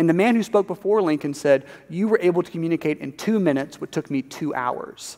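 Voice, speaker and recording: A man's high-pitched voice at a fairly quick pace, with ordinary pitch variation and a quiet background. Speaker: preacher. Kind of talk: sermon. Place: church.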